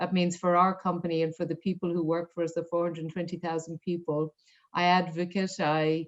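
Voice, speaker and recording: Here a woman with an Irish accent speaks at a fairly quick pace. Her fairly low voice has a monotone, flat intonation. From rural Ireland. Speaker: corporate diversity executive. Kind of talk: interview.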